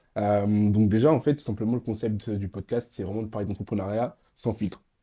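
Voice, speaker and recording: Moving fairly quickly, the speech has fairly even intonation and a dark, mellow tone. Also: man, quiet background. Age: 20s. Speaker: podcast host. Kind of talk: casual chat.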